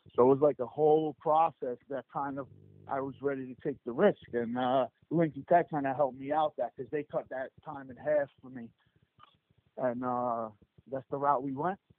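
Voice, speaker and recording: The voice carries a New Jersey accent and fairly even intonation. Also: man, fairly high pitch for a man, moderate pace. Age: 30s. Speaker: HVAC business owner.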